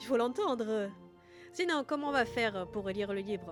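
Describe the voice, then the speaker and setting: A hoarse, put-on character voice at a fairly high pitch, playful in tone, with lively intonation, a moderate pace and music in the background. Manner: playful, mock.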